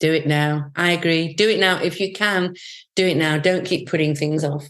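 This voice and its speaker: Her loudness stays very even as the woman talks at a moderate pace. Her pitch is fairly low and her intonation fairly even. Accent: English. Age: 60s. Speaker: travel group founder. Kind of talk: casual chat.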